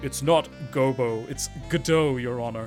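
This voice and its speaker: Over clear background music, a put-on character voice speaks at a moderate pace with a low-to-middle pitch. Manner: dramatic, growly.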